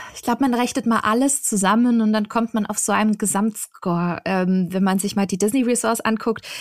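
Her delivery comes at a fairly quick pace with hardly any pauses, as a woman with an unremarkable speaking voice talks in a fairly high pitch and fairly even intonation. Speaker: travel blogger and podcaster. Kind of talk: casual chat.

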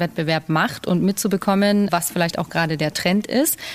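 A woman's ordinary speaking voice, fairly low in pitch, at a fairly quick pace with fairly even intonation. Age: young. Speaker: head chef. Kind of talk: casual chat.

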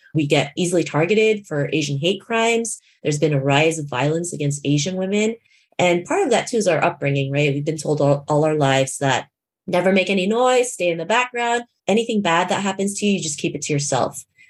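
A woman with a Canadian accent and a normal speaking voice, fairly low in pitch, with lively intonation at a fairly quick pace. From Toronto, Canada. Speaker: keynote speaker and confidence coach. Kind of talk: podcast interview.

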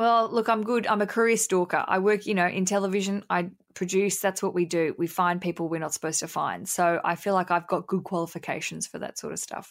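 A woman with an Australian accent at a medium pitch and a fairly quick pace. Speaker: podcaster and comedian. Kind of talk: casual interview. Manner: animated; loud.

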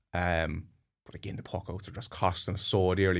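In a Cork accent, the speaker keeps a monotone, flat intonation on a very clean recording with a silent background. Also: man. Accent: Cork Irish. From Cork, Ireland. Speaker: GAA podcast guest pundit. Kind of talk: casual chat.

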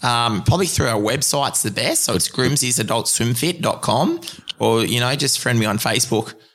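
A man with an Australian accent talks at a moderate pace amid noticeable background noise. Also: medium pitch for a man, ordinary pitch variation. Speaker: marathon open water swimmer. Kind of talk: interview conversation. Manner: halting.

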